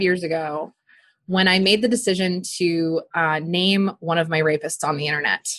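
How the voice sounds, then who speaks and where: A plain, everyday voice at a moderate pace. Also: woman. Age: 30s. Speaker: relationship and sex coach. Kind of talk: interview conversation.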